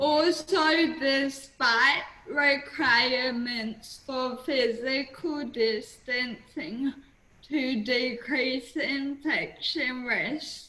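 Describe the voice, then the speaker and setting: In an Australian accent, a woman with a high pitch projects a raised voice at a very slow pace, her intonation fairly even, against noticeable background noise. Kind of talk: webinar presentation.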